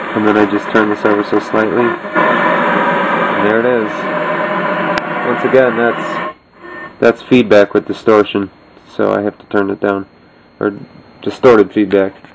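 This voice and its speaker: Music plays in the background as a man speaks fairly slowly with long, frequent pauses. His fairly low voice has a relaxed tone and monotone, flat intonation. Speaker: electronics hobbyist. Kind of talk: casual project demo. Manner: relaxed, hesitant. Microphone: phone near.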